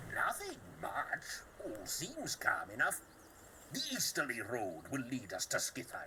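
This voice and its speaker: Fairly slow delivery in a put-on character voice, clear background noise behind it. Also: man. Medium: video game. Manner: joking, brash.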